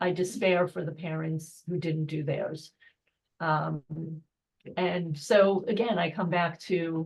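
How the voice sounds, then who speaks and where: At a very slow pace with long, frequent pauses, a woman speaks in a fairly low, somewhat breathy voice with fairly even intonation. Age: 60s. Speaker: film participant and panelist. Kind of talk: panel discussion.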